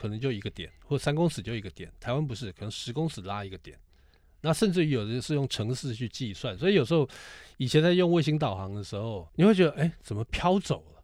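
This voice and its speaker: A man speaks at a fairly quick pace with very wide pitch swings in a very clean recording with a silent background. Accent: Taiwanese. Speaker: podcast co-host, car enthusiast. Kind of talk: casual chat.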